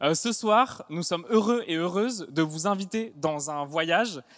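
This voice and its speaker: A man talks at a fairly slow pace in a high pitch, with ordinary pitch variation. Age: 30s. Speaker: stand-up comedian. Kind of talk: stage show introduction. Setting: stage with audience.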